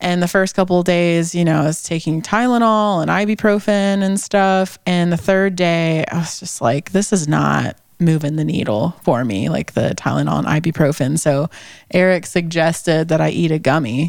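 A woman's fairly low voice with ordinary pitch variation at a moderate pace, over noticeable background noise. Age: 30s. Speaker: podcast co-host. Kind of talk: casual interview chat.

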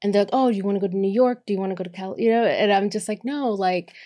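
In an American accent, a woman speaks at a medium pitch with ordinary pitch variation. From Boston, Massachusetts. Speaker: co-working business manager. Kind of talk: casual interview. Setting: in person studio.

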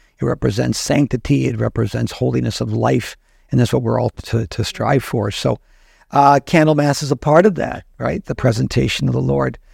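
Dry and close with no echo, a man's voice carries vocal fry at a fairly low pitch. He moves at a moderate pace with very wide pitch swings. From South Dakota, US Midwest. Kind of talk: casual chat. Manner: hesitant, many fillers.

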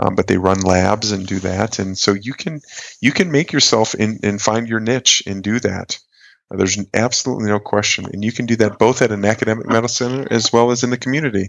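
Using a plain, everyday voice, a man with a fairly low pitch speaks at a fairly quick pace with ordinary pitch variation. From US Midwest, northern Wisconsin. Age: 40s. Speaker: colorectal surgeon. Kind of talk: interview.

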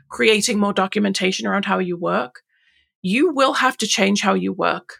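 The recording is very clean, with a silent background. A woman speaks with an English accent. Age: 40s. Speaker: Notion consultant. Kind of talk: casual interview chat.

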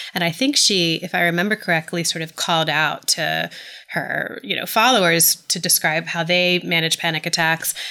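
Speaking at a moderate pace with an American accent, the voice shows vocal fry and ordinary pitch variation. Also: woman. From US South, Atlanta. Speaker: journalist and author. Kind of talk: interview.

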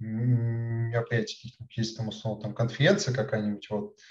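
A man speaks at medium pitch and a fairly slow pace. His intonation is monotone and flat. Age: 20s. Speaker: chatbot developer. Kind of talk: interview. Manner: halting, many filler words.

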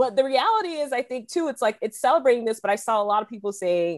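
A plain, everyday voice moves at a fairly quick pace with lively intonation and a dry, close sound with no echo. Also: woman. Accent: American. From US South, South Carolina. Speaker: history professor. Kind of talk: panel discussion.

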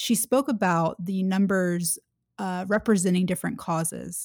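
In a plain, everyday voice, a woman with an American accent speaks at a moderate pace and medium pitch with ordinary pitch variation, in a very clean recording with a silent background and a dry, close sound with no echo. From US South, Atlanta, Georgia. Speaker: author and diplomacy advocate. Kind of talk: interview conversation.

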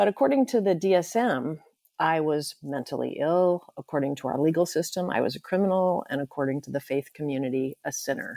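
Very deep and low, a woman's dark, mellow voice moves at a fairly quick pace with lively intonation in a dry, close sound with no echo. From California. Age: 70s. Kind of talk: interview conversation.

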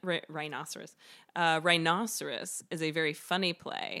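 A woman's bright, sharp voice in an American accent, fairly low in pitch and flat in intonation, at a moderate pace on a very clean recording with a silent background. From US South, Greenville, South Carolina. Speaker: actor and theater maker. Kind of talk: casual chat.

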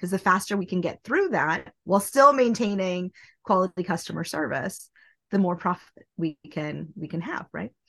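A woman's medium-pitched voice with an American accent, vocal fry, ordinary pitch variation and a moderate pace, in a dry, close sound with no echo and a quiet background. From US Midwest, small-town Nebraska. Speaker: industrial engineer, business consultant. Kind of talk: podcast interview.

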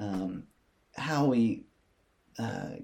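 With an East Tennessee accent, the speaker's pitch varies in an ordinary way. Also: man. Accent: Southern US (East Tennessee). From US South, Athens, Tennessee. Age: 30s. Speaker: school administrator and musician. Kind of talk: casual interview. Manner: hesitant, many fillers.

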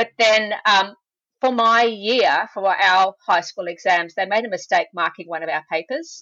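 Speaking at a fairly slow pace in an Australian accent, a woman holds a medium pitch with ordinary pitch variation. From Australia, Sydney. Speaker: veterinarian. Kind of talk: interview. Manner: hesitant with fillers. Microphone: poor audio quality at the start.

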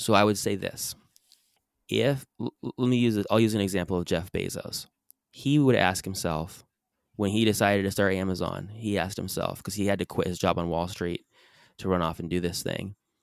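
In a normal speaking voice with an American accent, a man talks at a fairly quick pace, his fairly low pitch showing ordinary variation on a very clean recording with a silent background. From US West Coast, San Diego, California. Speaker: author and business coach. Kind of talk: interview conversation.

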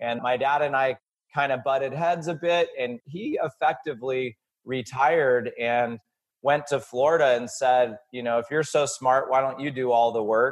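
This is an ordinary speaking voice from a man at a medium pitch. He keeps a moderate pace and fairly even intonation. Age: 40s. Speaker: entrepreneur and author. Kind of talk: podcast interview.

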